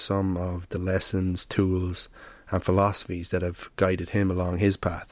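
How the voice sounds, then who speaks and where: Speaking with an Irish accent at a moderate pace, a man with a very deep, low pitch comes through on a very clean recording with a silent background. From Ireland. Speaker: podcast host, structural engineer. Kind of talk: interview; scripted intro.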